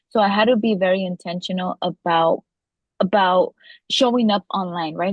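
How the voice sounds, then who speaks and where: Speaking at a moderate pace in a Spanish accent, a woman keeps a medium pitch with ordinary pitch variation. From US, daughter of Mexican immigrants. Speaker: legislative director and podcaster. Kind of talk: interview. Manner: many fillers and repetitions.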